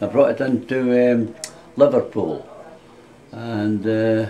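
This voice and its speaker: In a room with audible echo and noticeable background noise, a man speaks at a very slow pace with fairly even intonation. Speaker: war veteran. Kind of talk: interview. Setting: indoors, residence room. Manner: halting.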